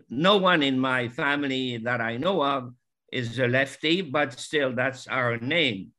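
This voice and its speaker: In a French accent, a man speaks at a fairly slow pace with a medium pitch and ordinary pitch variation. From Morocco. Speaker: retired psychology professor. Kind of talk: family conversation. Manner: halting.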